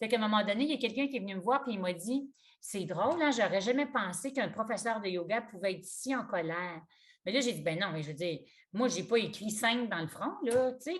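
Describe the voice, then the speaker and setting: In a Quebec accent, a woman speaks at a fairly quick pace with a fairly high, somewhat breathy voice, lively intonation and big swings in loudness. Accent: Québécois French. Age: 60s. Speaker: yoga teacher. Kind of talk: interview conversation. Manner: halting.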